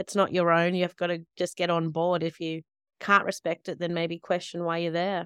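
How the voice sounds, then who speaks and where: Very fast speech with an Australian accent and monotone, flat intonation comes through dry and close, with no echo. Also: woman. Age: 30s. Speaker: nurse and midwife, author. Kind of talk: interview conversation.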